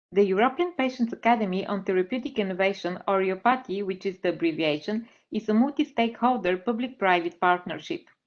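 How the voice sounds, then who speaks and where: Speaking with a Bulgarian accent, a woman talks at a very fast pace with lively intonation. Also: medium pitch for a woman. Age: 30s. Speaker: patient advocate. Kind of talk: presentation. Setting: webinar.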